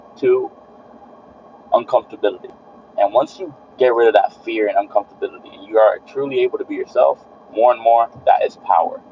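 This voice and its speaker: A man's words come at a fairly quick pace. Background noise is noticeable throughout. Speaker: streamer and fitness content creator. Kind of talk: live stream monologue. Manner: repeats words; casual motivational.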